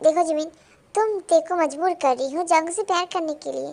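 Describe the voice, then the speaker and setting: A woman uses a put-on character voice with an extremely high pitch, talking at a fairly quick pace with fairly even intonation. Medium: read story. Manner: blunt, contrary.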